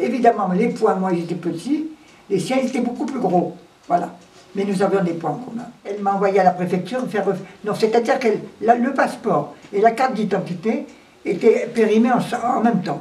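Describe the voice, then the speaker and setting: Against noticeable background noise, a woman speaks at a moderate pace. Her pitch is fairly high, with ordinary variation. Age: 80s+. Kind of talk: interview answer. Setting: indoors at home. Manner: energetic.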